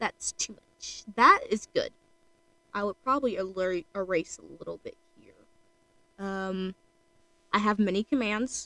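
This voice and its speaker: Quiet and fairly slow, a woman speaks with long, frequent pauses and big swings in loudness, in a dry, close sound with no echo. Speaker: streamer drawing art. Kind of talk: casual live stream chat. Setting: home at night, live stream. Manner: quiet, keeping voice down; rambling, hesitant with fillers.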